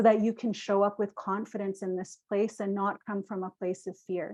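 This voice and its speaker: In a normal speaking voice, a woman with a medium pitch talks at a moderate pace. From Canada, British Columbia interior First Nations. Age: 40s. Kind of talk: workshop presentation. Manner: conversational, with fillers.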